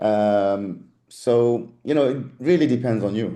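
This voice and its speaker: Audible room echo surrounds a man speaking with a German accent. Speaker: language school teaching director. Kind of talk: info session Q&A. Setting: video call.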